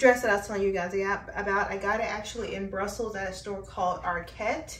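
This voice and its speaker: There is light background noise and audible room echo as a woman talks. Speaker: fashion vlogger. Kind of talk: casual vlog chat. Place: home room.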